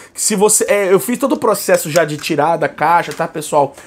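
Over light background noise, a man with a Brazilian accent talks in an animated tone at a high pitch. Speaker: YouTuber, metal album reviewer. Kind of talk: casual album review vlog. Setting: at home. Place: home room.

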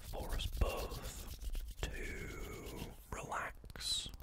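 A man whispering. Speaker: ASMR creator. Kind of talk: ASMR positive affirmations for relaxation and sleep. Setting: close microphone, cupped whispers. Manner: whispered, soft-spoken, slow. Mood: calm, reassuring. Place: home room. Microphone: studio mic.

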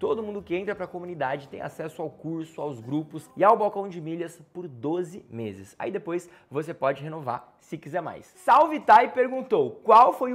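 A man's animated voice at a moderate pace, with very wide pitch swings, big swings in loudness and hardly any pauses. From Brazil, interior of São Paulo state (Campinas). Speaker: travel youtuber. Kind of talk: casual Q&A vlog. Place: home room.

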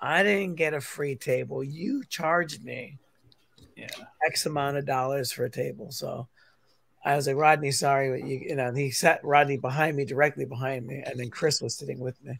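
A man with a plain, everyday voice speaks at a fairly high pitch and a moderate pace. His intonation is fairly even, but his loudness swings widely. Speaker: teacher and comic creator. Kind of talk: casual chat. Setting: in a car.

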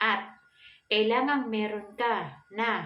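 Room echo can be heard clearly on this woman's voice. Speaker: feng shui vlogger. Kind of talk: tutorial. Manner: polite, frequent hesitations.

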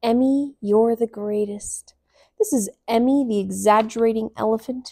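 Behind a natural read-aloud voice, the background stays quiet.

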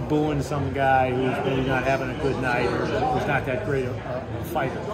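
Music plays in the background as a man talks at a fairly quick pace. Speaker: sports journalist interviewee. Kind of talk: interview answer. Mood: warm, reminiscing, smiling. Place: hall. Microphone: phone near.

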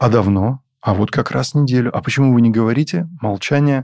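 A man talks at a moderate pace with a medium pitch and a dark, mellow tone. The recording is very clean, with a silent background. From southern Russia, Taganrog. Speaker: business owner, restaurant franchisee. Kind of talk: interview. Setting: studio.

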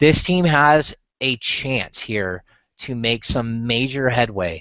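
Lively intonation and a fairly bright tone mark this man's medium-pitched voice as he speaks at a slow pace.

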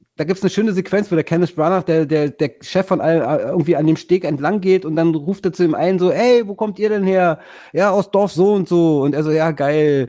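A man's high voice with a dark, mellow tone, ordinary pitch variation and a fairly quick pace. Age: 50s. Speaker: podcast host. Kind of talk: casual chat.

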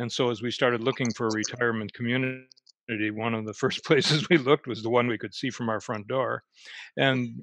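Very fast speech from a man, fairly even in intonation, in a dry sound with no echo against a quiet background. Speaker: panelist. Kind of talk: casual panel talk. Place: home room. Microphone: headset.

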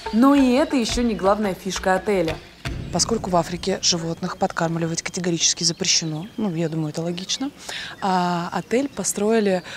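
A woman talks at a fairly quick pace with ordinary pitch variation. Clear music plays in the background. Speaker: travel show host. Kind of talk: travel show commentary. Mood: excited, amazed. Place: open country.

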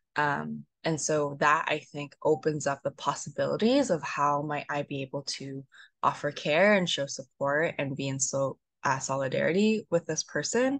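Over a quiet background, a woman with a very deep, low pitch speaks at a moderate pace with ordinary pitch variation, the sound dry with no echo. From Vancouver, Canada (born in Korea). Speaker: therapist; panelist. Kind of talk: panel discussion. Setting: video call from Manila. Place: home room. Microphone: video call.

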